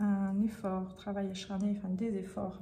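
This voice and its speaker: A soft-spoken woman with a medium pitch talks at a fairly slow pace in a flat monotone, with noticeable background noise and audible room echo. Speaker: tarot reader. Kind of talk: tarot reading. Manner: hesitant, many fillers.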